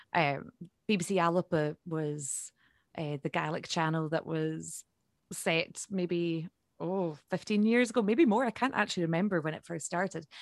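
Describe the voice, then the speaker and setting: In a Highland Scottish accent, a woman speaks at a moderate pace and fairly low pitch with ordinary pitch variation, captured in a dry, close sound with no echo on a very clean recording with a silent background. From Scotland, Isle of Skye. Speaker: Gaelic singer-songwriter. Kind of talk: interview.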